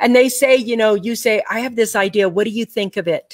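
A woman talks at a fairly quick pace in an unremarkable speaking voice, fairly high in pitch. The sound is dry with no echo, over a quiet background. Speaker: public speaker and business coach; online show host. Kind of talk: casual chat with a sales pitch. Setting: video call live stream. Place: home room. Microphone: webcam.

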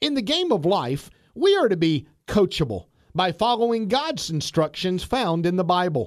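A high-pitched man with very wide pitch swings and very even loudness, on a very clean recording with a silent background. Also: moderate pace. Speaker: pastor. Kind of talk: radio pep talk.

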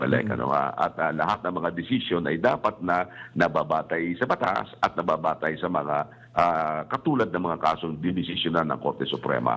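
Vocal fry in a man's very deep, low voice, delivered at a moderate pace. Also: ordinary pitch variation. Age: old. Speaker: election lawyer. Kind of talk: radio interview.

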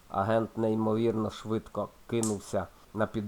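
Someone is heard in plain reading aloud.

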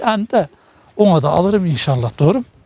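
A man's high-pitched voice at a fairly quick pace, with lively intonation and a dry sound free of echo. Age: 60s. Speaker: market shopper; interviewee. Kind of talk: street interview. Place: market.

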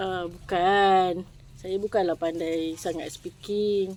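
At a very slow pace, a woman talks at medium pitch. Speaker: vlogger. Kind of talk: casual chat. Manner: animated.

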